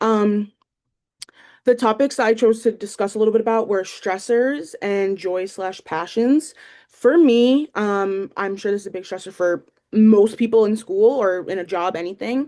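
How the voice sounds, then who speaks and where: Woman with a northeastern Pennsylvania accent, dark, mellow tone and fairly high pitch, at a moderate pace with ordinary pitch variation. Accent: northeastern Pennsylvania American. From northeastern Pennsylvania, Lackawanna County. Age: 20s. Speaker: student teacher. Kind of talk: class introduction video. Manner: hesitant, many fillers.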